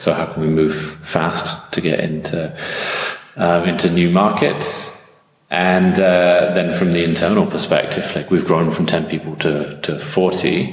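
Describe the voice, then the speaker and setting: There is noticeable background noise and audible room echo as a man speaks with a British accent. His pitch is very deep and low, and his pace fairly slow. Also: ordinary pitch variation. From England. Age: 30s. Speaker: startup marketing executive. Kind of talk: interview.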